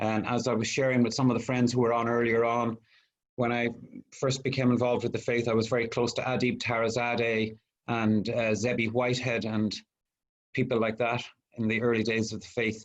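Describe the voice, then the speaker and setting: A man talks fairly quickly in an Irish accent at a medium pitch. His intonation is monotone and flat. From Ireland, Dublin. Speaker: guest presenter on Baha'i history. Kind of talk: online presentation. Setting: video call.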